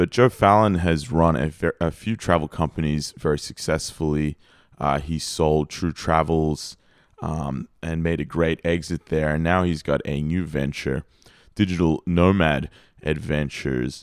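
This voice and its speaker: With an Australian accent, a man talks in a very deep, low-pitched voice. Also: fairly even intonation. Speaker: podcast host. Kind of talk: casual interview; scripted intro and outro.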